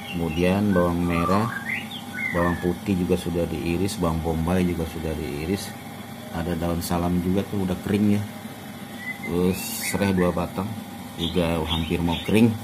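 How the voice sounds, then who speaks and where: Moderate speed from a male speaker, plus clearly audible noise in the background. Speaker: home cook vlogger. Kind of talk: cooking tutorial. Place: home room. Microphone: phone near.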